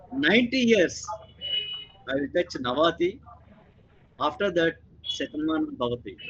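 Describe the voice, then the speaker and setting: Speaking at a fairly slow pace, a man uses a high pitch with very wide pitch swings. Noticeable background noise runs behind him. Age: 70s. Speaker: retired professor. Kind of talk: panel discussion.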